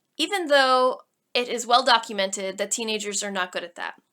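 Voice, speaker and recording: A woman projects a raised voice with a bright, sharp tone, lively intonation and a fairly quick pace. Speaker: college instructor. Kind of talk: online lecture. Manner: casual, conversational.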